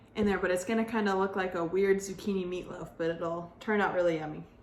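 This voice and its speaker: A woman talks at a fairly quick pace with fairly even intonation, with audible room echo and noticeable background noise. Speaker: teacher. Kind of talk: tutorial. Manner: casual, filler-heavy.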